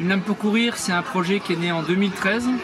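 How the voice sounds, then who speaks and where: Amid crowd noise and audible room echo, a man talks with ordinary pitch variation. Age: 60s. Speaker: retired prosthetist, charity founder. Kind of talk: interview. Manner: hesitant, many fillers.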